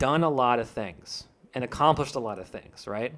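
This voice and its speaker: A man's bright, sharp voice at medium pitch, with ordinary pitch variation. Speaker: indie game developer streamer. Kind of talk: live stream chat discussion, reading viewer comments. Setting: live stream. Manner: loud, expressive; hesitant, many fillers and restarts.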